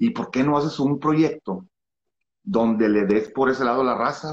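At a moderate pace, a man talks with lively intonation. His pitch sits fairly high. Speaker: musician and singer. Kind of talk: interview.

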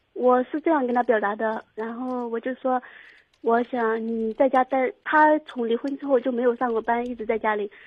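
This woman has a high-pitched voice and fairly even intonation. Her pace is moderate. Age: 20s. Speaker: caller. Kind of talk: call-in advice. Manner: halting.

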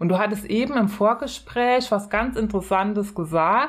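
A woman at medium pitch and a fairly slow pace, in a very clean recording with a silent background. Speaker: podcast co-host with long covid. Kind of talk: casual chat. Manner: calm, quiet.

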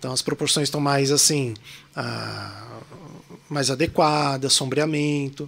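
A man with a São Paulo accent, very slow, with long, frequent pauses, a fairly high pitch and a monotone, flat intonation. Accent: Paulista (São Paulo) Portuguese. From São Paulo, Brazil. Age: 40s. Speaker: illustrator and graphic designer. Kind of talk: casual chat.

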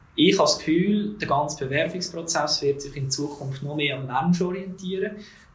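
A man varies his pitch in an ordinary way, with room echo audible and background noise noticeable. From Switzerland, Zug. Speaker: HR manager. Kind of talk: interview.

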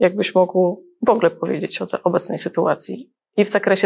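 Using an ordinary speaking voice, a woman talks at medium pitch. She goes at a fairly quick pace with fairly even intonation. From Gdańsk, Poland. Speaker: wealth advisor, channel host. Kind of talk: interview.

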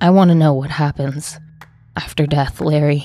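A shaky, put-on character voice at a low-to-middle pitch and a moderate pace. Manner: tentative.

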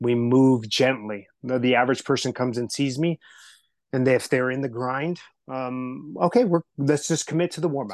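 At a moderate pace, a plain, everyday voice talks with ordinary pitch variation over a quiet background. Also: man. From Southern California, US. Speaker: health and wellness coach. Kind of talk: podcast interview.

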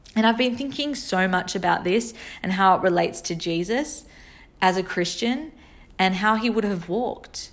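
A woman's normal speaking voice at a moderate pace. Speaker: podcaster. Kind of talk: solo monologue podcast.

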